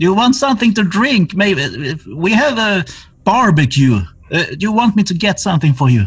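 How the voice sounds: A man uses a put-on character voice, high in pitch with a slightly husky edge. He moves at a moderate pace with big pitch swings.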